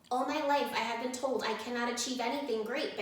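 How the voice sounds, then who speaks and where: A female-sounding put-on character voice speaks fairly quickly at a high pitch. Strong echo surrounds it. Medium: read story.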